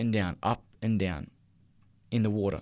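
Recorded very cleanly over a silent background, a man talks with an Australian accent. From Australia, Newcastle NSW. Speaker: teacher. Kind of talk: testimony. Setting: studio.

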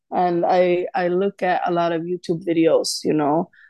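A woman with a Swedish accent speaks at medium pitch in a dark, mellow tone. Her delivery is fairly slow and monotone, with flat intonation against a quiet background. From Sweden. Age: 20s. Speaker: sales executive. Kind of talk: interview.

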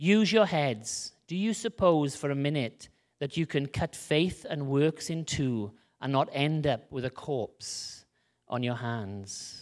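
Very slowly and with lively intonation, a man with a Welsh accent speaks at a fairly high pitch on a very clean recording with a silent background. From rural Wales. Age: 30s. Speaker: missionary preacher. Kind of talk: sermon. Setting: church. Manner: animated.

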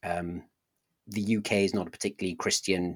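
A man's fairly low voice, fairly even in intonation and fairly quick in pace, on a very clean recording with a silent background. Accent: Welsh. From South Wales. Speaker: pastor and apologist. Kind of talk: casual interview, telling personal story.

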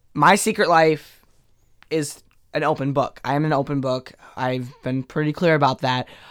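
This man has an ordinary speaking voice, fairly high in pitch, with fairly even intonation at a moderate pace. The recording is very clean with a silent background. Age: 20s. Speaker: student and aspiring slam poet. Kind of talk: casual chat.

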